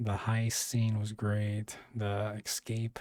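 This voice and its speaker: Against a silent background in a very clean recording, a man talks in a dark, mellow tone. His intonation is monotone and flat. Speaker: YouTube TV reviewer. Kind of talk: solo video review. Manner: halting, many fillers.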